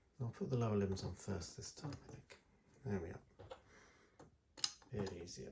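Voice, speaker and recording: A soft-spoken man with a fairly low pitch talks with lively intonation, big swings in loudness and long, frequent pauses over noticeable background noise. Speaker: miniature hobbyist. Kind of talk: tutorial.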